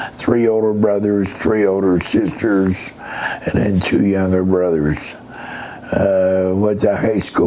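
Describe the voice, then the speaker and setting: Noticeable background noise sits behind a man with an American accent who speaks at a very slow pace and fairly low pitch, in monotone, flat intonation. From Pennsylvania. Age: 70s. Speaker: retired army veteran. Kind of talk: interview answer.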